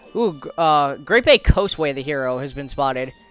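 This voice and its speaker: The talking proceeds at a moderate pace. Behind it, music plays. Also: man. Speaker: speedrun race commentator. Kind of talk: live esports-style race commentary. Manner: casual, enthusiastic, with frequent filler words.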